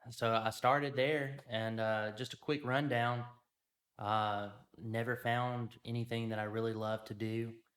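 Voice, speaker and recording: Someone with a Louisiana accent speaks at a fairly slow pace in a monotone, flat intonation. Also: man, medium pitch for a man. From Louisiana, US South. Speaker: media company owner. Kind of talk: casual interview.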